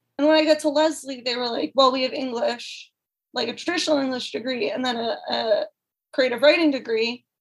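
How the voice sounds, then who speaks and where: A woman with an American accent, high-pitched and at a fairly quick pace. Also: ordinary pitch variation. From Massachusetts, US. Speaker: PhD candidate in rhetoric. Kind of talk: interview.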